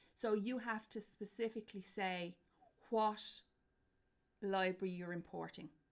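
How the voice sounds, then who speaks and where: A woman with an Irish accent, medium pitch and fairly even intonation, fairly slow pace with long, frequent pauses. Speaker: university lecturer. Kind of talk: lecture. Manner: loud.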